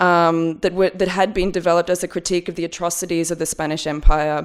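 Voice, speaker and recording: A woman's very fast, monotone, flat delivery in an Australian accent, fairly low in pitch, on a very clean recording with a silent background. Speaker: curator and researcher. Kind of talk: academic conference talk. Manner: halting, many fillers.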